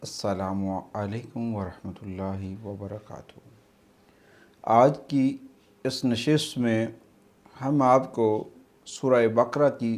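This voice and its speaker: An unremarkable speaking voice from a man at medium pitch, with ordinary pitch variation and big swings in loudness, in a very clean recording with a silent background. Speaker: Islamic speaker giving religious advice. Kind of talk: religious talk on benefits of a surah.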